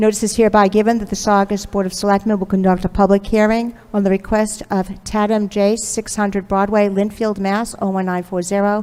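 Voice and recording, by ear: A woman speaks at a fairly quick pace with few pauses. Her tone is dark and mellow, with little pitch movement. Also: medium pitch for a woman.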